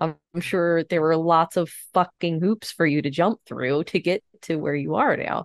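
A woman's ordinary speaking voice, fairly low in pitch, with a moderate pace, hardly any pauses and fairly even intonation, over a quiet background. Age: 30s. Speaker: podcast co-host. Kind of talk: casual chat.

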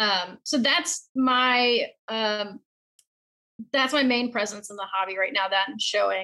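A woman with an American accent, fairly high pitch, ordinary pitch variation, a bright, sharp tone and a moderate pace. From South Carolina. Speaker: model horse hobbyist. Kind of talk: casual interview. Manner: talkative.

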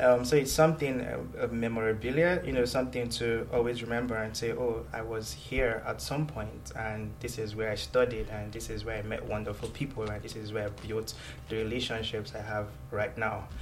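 Over music in the background, a man with a Nigerian accent speaks fairly quickly at medium pitch with ordinary pitch variation. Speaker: university student and researcher. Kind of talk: casual interview.

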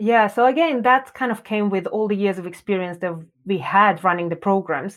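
Against a quiet background, a woman with a Russian accent speaks with ordinary pitch variation. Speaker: design educator and founder. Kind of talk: interview.

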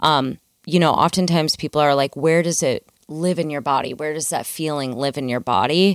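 In a Midwestern American accent, a woman speaks at a fairly quick pace with a very deep, low pitch and ordinary pitch variation. The very clean recording has a silent background and a dry, close sound with no echo. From US Midwest. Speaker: dancer and choreographer. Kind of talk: interview conversation. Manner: animated.

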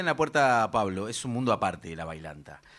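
With lively intonation, a man speaks on a very clean recording with a silent background. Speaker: folk musician, bailanta group member. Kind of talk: casual chat on live radio.

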